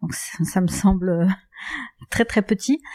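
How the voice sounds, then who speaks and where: In a very clean, dry and close recording with a silent background and no echo, a woman speaks at a fairly slow pace with a dark, mellow tone and ordinary pitch variation. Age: 50s. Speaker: hotel and restaurant entrepreneur. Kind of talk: interview.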